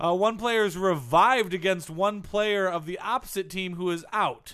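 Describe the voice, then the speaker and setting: In a raised, projected voice, a man speaks at a high pitch with a bright, sharp tone and ordinary pitch variation, on a very clean recording with a silent background. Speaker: sports comedy podcast co-host. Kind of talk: casual comedy banter.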